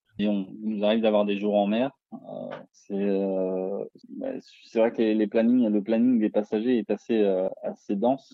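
A man speaks at a fairly low pitch in a monotone, flat intonation. He goes at a fairly slow pace with long, frequent pauses. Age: 30s. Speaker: cruise ship sommelier. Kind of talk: interview. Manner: hesitant, many fillers.

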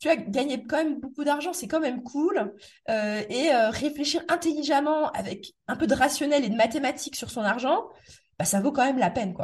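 A woman's high voice moves with lively intonation at a moderate pace. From Metz, eastern France. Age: 30s. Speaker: property investor and podcast host. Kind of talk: casual interview.

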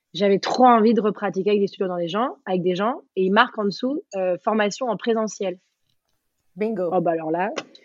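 This woman has a medium pitch and ordinary pitch variation. She talks at a fairly quick pace but leaves long, frequent pauses. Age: 30s. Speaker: yoga teacher and former dancer. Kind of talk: casual interview.

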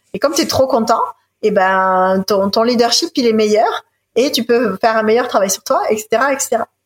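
An ordinary speaking voice from a woman, fairly high in pitch, with ordinary pitch variation at a fairly slow pace. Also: dry, close sound with no echo. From France, Marseille. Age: 30s. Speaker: ecologist and environmental leadership founder. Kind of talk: interview.

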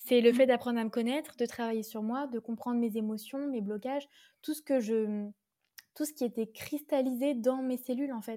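A woman's high-pitched voice with a dark, mellow tone, at a moderate pace and with fairly even intonation, on a very clean recording with a silent background. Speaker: yoga teacher and astrologer. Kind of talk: casual chat.

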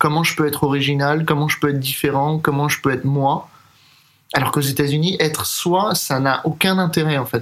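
Here is an ordinary speaking voice, a man's, at a fairly high pitch. He moves at a fairly quick pace with fairly even intonation. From Paris, France. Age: 30s. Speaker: jazz drummer and composer. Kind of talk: interview.

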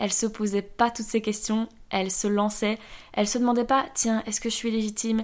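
On a very clean recording with a silent background, a woman talks fairly quickly in a monotone, flat delivery at a fairly high pitch. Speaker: podcast host and former entrepreneur. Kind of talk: personal monologue.

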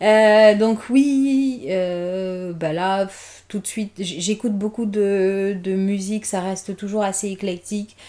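With a dark, mellow tone and medium pitch, a woman speaks at a very slow pace using fairly even intonation. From Guinea, Conakry. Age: 30s. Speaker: mother and podcast guest. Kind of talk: casual interview.

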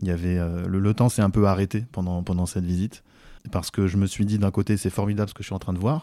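A man talks at a very fast pace with a fairly low pitch. His tone is dark and mellow, and his intonation stays fairly even. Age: 40s. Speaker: civil engineer leading a heritage building project. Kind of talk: interview testimony. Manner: hesitant, frequent fillers.

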